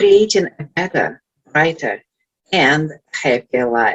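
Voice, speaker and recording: A woman with a Russian accent and a fairly low pitch, speaking at a very slow pace in a dry, close sound with no echo. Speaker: life coach. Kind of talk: motivational talk. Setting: virtual event.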